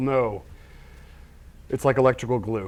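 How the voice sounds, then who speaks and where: A man speaks at a medium pitch. His pace is very fast. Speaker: prop and set builder. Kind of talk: workshop tutorial.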